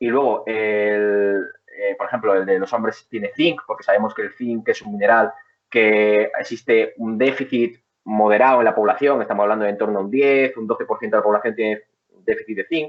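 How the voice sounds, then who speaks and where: Medium in pitch, a man's voice keeps fairly even intonation. He moves along at a fairly quick pace. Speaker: personal trainer and nutrition advisor. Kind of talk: interview. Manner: fast; technical.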